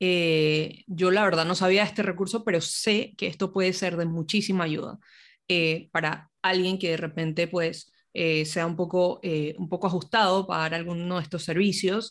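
A woman with an ordinary speaking voice talks at a fairly low pitch and moderate pace, with fairly even intonation. The recording is very clean with a silent background. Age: young. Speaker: podcast host. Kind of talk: interview.

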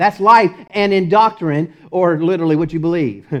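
In a Texas accent, a man speaks at a fairly slow pace. The background is quiet. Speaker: preacher. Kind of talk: sermon.

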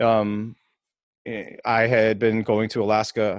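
In an American accent, a man with a fairly low pitch is heard in a dry, close sound with no echo, on a very clean recording with a silent background. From Minnesota (Maple Grove). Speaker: podcast co-host. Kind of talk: casual chat.

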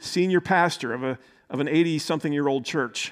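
A man with a normal speaking voice talks at a fairly quick pace. His pitch is fairly high, his intonation fairly even. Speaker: pastor. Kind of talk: sermon.

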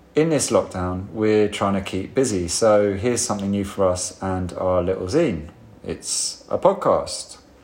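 Fairly low in pitch, a man has an ordinary speaking voice. He talks at a fairly slow pace. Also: ordinary pitch variation. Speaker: podcast host and bar worker. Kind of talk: casual interview chat. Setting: empty bar, recorded in lockdown.

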